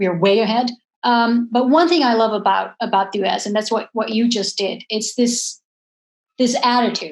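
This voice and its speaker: A woman with a Dutch accent speaks at a moderate pace. Her fairly high voice has ordinary pitch variation. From Netherlands. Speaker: professor and moderator. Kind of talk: panel discussion.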